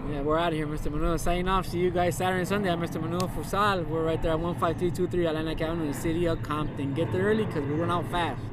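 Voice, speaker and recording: Over noticeable background noise, a man with a high pitch talks very fast with fairly even intonation and hardly any pauses. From US West Coast, East Los Angeles. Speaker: food vendor. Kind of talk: casual chat. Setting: outdoors.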